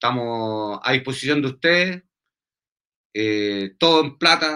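At a fairly slow pace, a man with a Chilean accent speaks at medium pitch in a bright, sharp tone with lively intonation. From Chile, Santiago. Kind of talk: interview.

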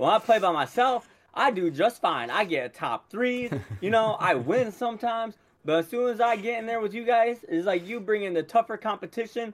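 With an American accent, a man speaks at a high pitch with ordinary pitch variation. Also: moderate pace. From Michigan. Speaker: podcast co-host.

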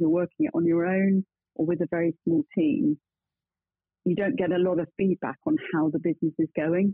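Using lively intonation, a woman speaks with an English accent. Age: 50s. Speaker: bookkeeping practice founder. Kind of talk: interview.

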